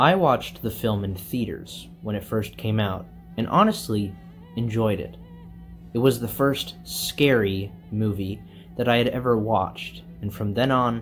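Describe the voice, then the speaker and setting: Over music in the background, a man talks fairly slowly at a fairly low pitch with ordinary pitch variation. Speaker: movie reviewer. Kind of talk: video essay narration. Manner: relaxed.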